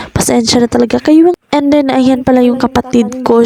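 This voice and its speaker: A woman speaks at a high pitch in a flat monotone. The sound is dry and close, with no echo. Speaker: vlogger. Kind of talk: casual vlog narration. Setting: farm.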